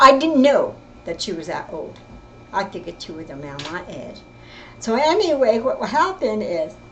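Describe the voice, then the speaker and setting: With an American accent, a woman speaks in a fairly high pitch, her voice making very wide pitch swings and big swings in loudness. Audible room echo and noticeable background noise are present. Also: moderate pace. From California, East Bay. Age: 70s. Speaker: family storyteller. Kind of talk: personal storytelling. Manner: halting, with self-corrections.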